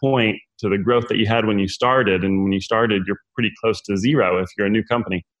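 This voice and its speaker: There is a man with an American accent using a normal speaking voice, medium in pitch with fairly even intonation. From US West (rural California). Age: 40s. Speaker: entrepreneur. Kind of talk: interview.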